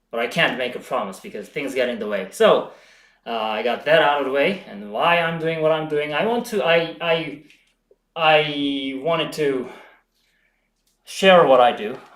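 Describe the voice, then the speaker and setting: A man with a fairly high pitch speaks with lively intonation and long, frequent pauses, and audible room echo surrounds his voice. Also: moderate pace. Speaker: home bodybuilding streamer. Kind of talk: live stream chat. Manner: halting, frequent self-corrections.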